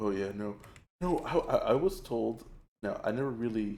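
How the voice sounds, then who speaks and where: Lively intonation marks this man's medium-pitched voice, which has a dark, mellow tone and an American accent. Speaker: vtuber streamer. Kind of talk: casual live stream chat while gaming. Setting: late-night live stream. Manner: casual, filler-heavy, rambling.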